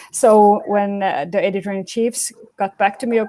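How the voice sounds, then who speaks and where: With a non-native accent, a woman speaks at medium pitch and a moderate pace in a dark, mellow tone, the sound dry and close with no echo. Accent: non-native English speaker. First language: Swedish. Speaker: medical journal editor. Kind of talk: panel webinar talk. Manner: halting, many fillers.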